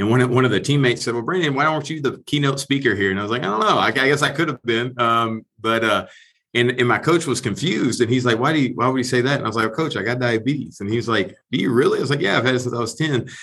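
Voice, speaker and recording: A man with an American accent, medium in pitch with ordinary variation, bright and sharp in tone, at a very fast pace with hardly any pauses. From Texas. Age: 40s. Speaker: former pro football player. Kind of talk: interview conversation.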